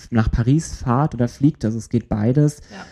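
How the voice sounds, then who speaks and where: A man's voice at a medium pitch, dark and mellow in tone. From Germany. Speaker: podcast co-host. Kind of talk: casual chat.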